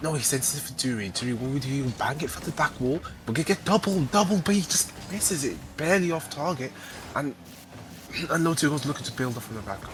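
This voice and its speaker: A man's fairly high voice, very fast and with lively intonation, over noticeable background noise. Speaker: esports caster. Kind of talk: live commentary.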